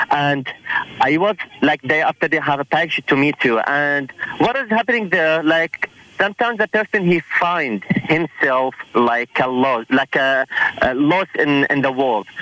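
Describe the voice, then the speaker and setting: A man speaks at a fairly high pitch with lively intonation and very even loudness. Noticeable background noise runs underneath. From Iraq. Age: 20s. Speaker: church friend. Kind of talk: casual chat. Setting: phone call.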